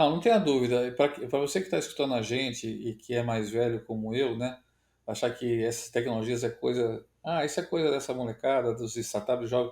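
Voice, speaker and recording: Recorded very cleanly against a silent background, a man talks at a moderate pace in an unremarkable speaking voice, medium in pitch with ordinary variation. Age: 60s. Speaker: agribusiness innovation director. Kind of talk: podcast interview.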